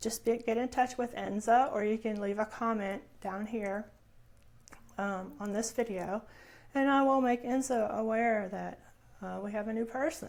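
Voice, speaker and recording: A soft-spoken woman with a fairly high pitch, fairly even intonation and a moderate pace. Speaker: crafting YouTuber. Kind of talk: casual vlog chat. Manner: halting, many fillers.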